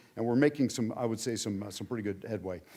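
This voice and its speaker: In an American accent, a man speaks with a dark, mellow tone. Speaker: former diplomat and hostage envoy. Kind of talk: speech. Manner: fast.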